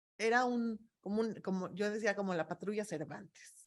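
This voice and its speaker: A woman is speaking. She has a Mexican accent. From Mexico. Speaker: expert on migrant families. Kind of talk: talk answering audience questions.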